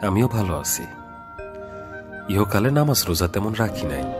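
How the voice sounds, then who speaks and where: A man's very deep, low voice over background music. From Bangladesh. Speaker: poetry reciter and voice over artist. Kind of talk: poetry reading.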